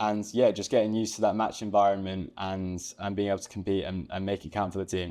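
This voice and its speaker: Over a quiet background, a man with an English accent speaks fairly low in pitch with monotone, flat intonation. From England. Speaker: college tennis player. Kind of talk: interview. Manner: hesitant, many fillers.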